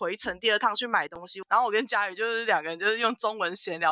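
With a Taiwanese accent, a woman speaks in an animated tone over noticeable background noise. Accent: Taiwanese Mandarin. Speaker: podcast co-host. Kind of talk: casual chat.

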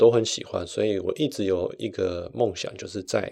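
Speaking at a moderate pace, a man talks in a Taiwanese accent. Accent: Taiwanese Mandarin. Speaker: podcast host. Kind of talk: personal storytelling monologue.

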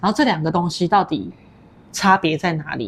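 An ordinary speaking voice from a woman, fairly low in pitch, with ordinary pitch variation. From Taiwan, Puli (Nantou). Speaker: podcast host. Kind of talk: casual interview chat.

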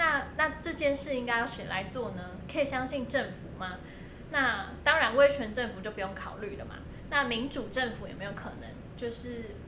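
A woman speaks at a high pitch with ordinary pitch variation and big swings in loudness. Noticeable background noise and audible room echo come through. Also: moderate pace. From Taiwan, Hakka family. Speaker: publisher and translator. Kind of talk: casual interview discussion.

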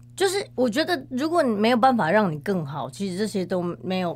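Vocal fry colors a woman's medium-pitched voice as she moves at a fairly quick pace with very wide pitch swings. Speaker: professional organizer. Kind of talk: interview conversation.

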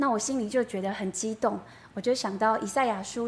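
A somewhat breathy woman at fairly high pitch, moderate pace and fairly even intonation. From Taiwan, Yilan. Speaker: church member giving testimony. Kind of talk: testimony. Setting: church.

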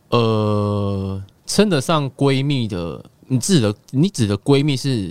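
A man speaks at a very slow pace with lively intonation and a medium pitch. The sound is dry and close, with no echo. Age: 20s. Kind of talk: casual chat. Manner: halting.

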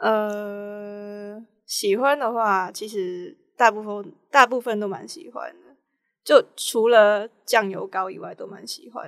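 Big swings in loudness mark the speech of a woman talking at a very slow pace. She uses a medium pitch with ordinary pitch variation. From Hong Kong. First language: Cantonese (speaking Chinese). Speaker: film student. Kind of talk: casual interview.

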